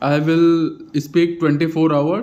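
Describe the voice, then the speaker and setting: A man with an Indian accent talks at a fairly slow pace. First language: Hindi. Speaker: vlogger practicing English. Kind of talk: casual monologue. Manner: halting, many fillers.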